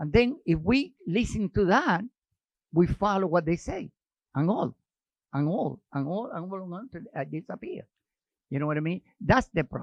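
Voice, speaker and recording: Pausing long and often, a man with a Spanish accent speaks at a high pitch and moderate pace with lively intonation. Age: 80s+. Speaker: actor. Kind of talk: casual chat.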